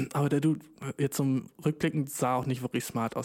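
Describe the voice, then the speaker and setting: His pitch is medium. This man talks very fast. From Germany. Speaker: podcast host. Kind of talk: casual solo podcast monologue. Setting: home recording with new microphone. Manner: animated, slangy.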